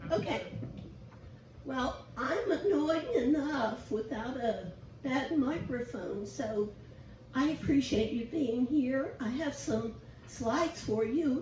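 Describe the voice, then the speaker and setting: A squeaky, high-pitched woman's voice at a very slow pace with long, frequent pauses and ordinary pitch variation, amid audible room echo and noticeable background noise. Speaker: guest preacher. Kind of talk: sermon.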